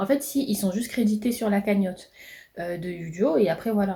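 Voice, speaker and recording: At a fairly quick pace, a woman talks in a somewhat breathy, dark, mellow tone, her medium pitch showing ordinary pitch variation. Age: 20s. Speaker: entrepreneur vlogger. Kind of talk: vlog monologue. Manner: fast; hesitant fillers.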